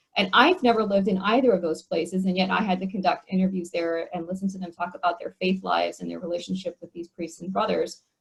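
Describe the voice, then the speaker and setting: Speaking very fast with hardly any pauses, a woman shows vocal fry at a medium pitch. Her intonation stays fairly even as her loudness swings widely. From US, Korean American. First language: Korean. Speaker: theologian and mission speaker. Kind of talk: video call panel discussion.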